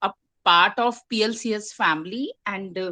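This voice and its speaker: A woman's fairly high, bright, sharp voice in an Indian accent, over a quiet background. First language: Hindi. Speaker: poet and English lecturer. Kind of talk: poetry reading at online open mic. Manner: halting, many fillers.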